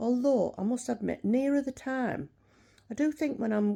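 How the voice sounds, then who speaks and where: A woman with a British accent and a dark, mellow tone speaks at a moderate pace with ordinary pitch variation, in a very clean recording with a silent background. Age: 60s. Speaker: vlogger. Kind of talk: casual chat.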